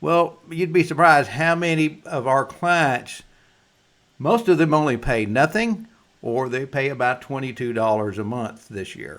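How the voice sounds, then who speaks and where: A man with a plain, everyday voice, fairly high in pitch, with lively intonation at a fairly slow pace. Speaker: insurance agent. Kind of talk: explainer presentation. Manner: casual folksy.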